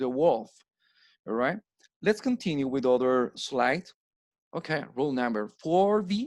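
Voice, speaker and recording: A man with a Spanish accent, fairly high in pitch, dry and close with no echo. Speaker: English teacher. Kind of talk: lecture. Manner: slow, explanatory.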